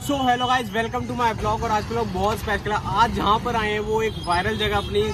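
A man is speaking. The sound is dry with no echo, though noticeable background noise is present. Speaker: food vlogger. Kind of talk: casual vlog chat. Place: street. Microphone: phone near.

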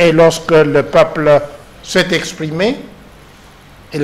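With a fairly high pitch and ordinary variation in it, a man speaks at a very slow pace. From DR Congo. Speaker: professor. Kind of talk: political panel discussion. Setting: TV studio. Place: studio.

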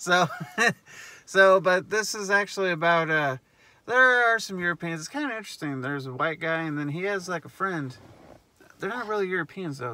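A man's high voice at a fairly quick pace, with ordinary pitch variation, big swings in loudness and a dry sound with no echo. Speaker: movie reviewer. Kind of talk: casual review chat. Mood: joking, sarcastic. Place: car.

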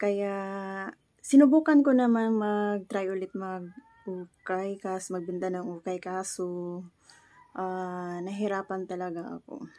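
A woman speaks at a very slow pace in a dark, mellow tone, with ordinary pitch variation and big swings in loudness against a quiet background. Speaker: vlogger. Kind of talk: casual talk to camera. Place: home room. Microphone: phone near.

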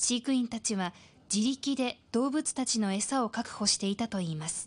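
An ordinary speaking voice at a moderate pace with ordinary pitch variation, over a quiet background. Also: woman, fairly high pitch for a woman. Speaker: news narrator. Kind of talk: TV news narration.

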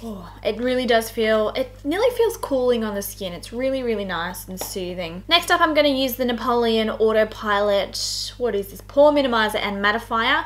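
With lively intonation and big swings in loudness, a woman speaks at a moderate pace with hardly any pauses. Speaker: beauty vlogger. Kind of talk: tutorial. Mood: cheerful, chatty. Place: home room.

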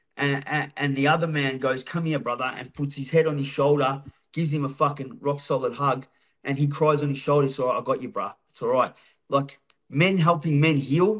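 A man talks at a fairly quick pace and a fairly high pitch. His intonation is fairly even, against a quiet background. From Melbourne western suburbs, Australia; Australia. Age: 40s. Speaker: former prisoner and recovery speaker; podcast guest. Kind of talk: casual interview. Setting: studio. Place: home room. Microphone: video call.

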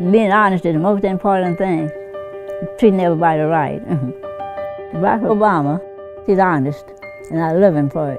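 A woman with ordinary pitch variation and long, frequent pauses, clear music in the background. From Kentucky. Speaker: elderly voter interviewed. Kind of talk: interview answer. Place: home room.

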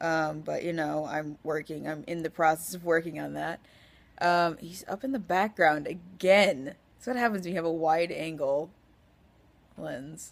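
A woman's fairly low voice with an American accent, fairly slow and full of long, frequent pauses, with ordinary pitch variation and big swings in loudness. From Washington, US Pacific Northwest. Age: 20s. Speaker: vlogger. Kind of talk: casual vlog monologue. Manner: rambling with fillers and laughs. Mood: cheerful, joking.

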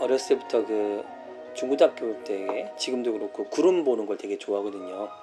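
Music plays behind a man speaking at a medium pitch. He talks at a fairly quick pace with lively intonation. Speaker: book club host. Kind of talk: interview question.

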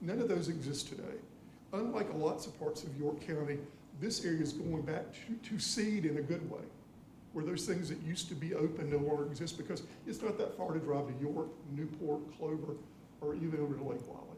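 A man with a South Carolina accent at a fairly high pitch and a fairly quick pace, with ordinary pitch variation, audible room echo and noticeable background noise. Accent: Southern US (South Carolina). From US South. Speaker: public commenter. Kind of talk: public comment at council meeting.

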